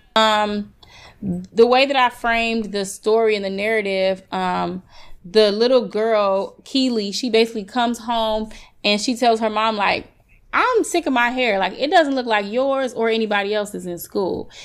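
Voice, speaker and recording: With an American accent, a woman talks in an unremarkable speaking voice, pitched fairly high, with ordinary pitch variation. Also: moderate pace. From US Midwest, south side of Chicago. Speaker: hairstylist. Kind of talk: casual interview. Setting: remote recording.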